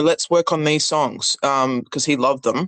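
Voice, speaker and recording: A woman with an Australian accent, a very deep, low pitch, and ordinary pitch variation, in a dry, close sound with no echo. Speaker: singer-songwriter. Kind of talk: interview.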